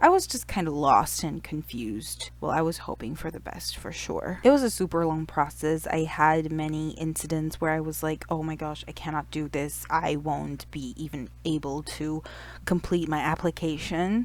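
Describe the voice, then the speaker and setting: A woman speaking with hardly any pauses over noticeable background noise. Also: moderate pace. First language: Mandarin Chinese. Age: 30s. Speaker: YouTuber. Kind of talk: personal storytelling vlog.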